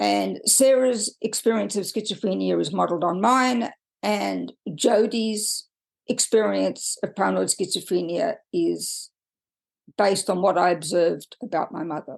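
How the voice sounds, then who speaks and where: Against a quiet background, a woman's speech moves at a moderate pace. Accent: Australian. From Australia. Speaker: podcaster and author. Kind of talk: personal podcast monologue. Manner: hesitant, with frequent fillers.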